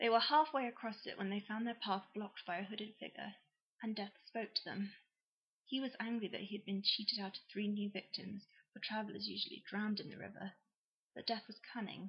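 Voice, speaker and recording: The woman talks at a fairly quick pace, keeping her intonation fairly even. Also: medium pitch for a woman. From England. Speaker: YouTuber. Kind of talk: reading aloud; casual chat. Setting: at home on a sofa with laptop.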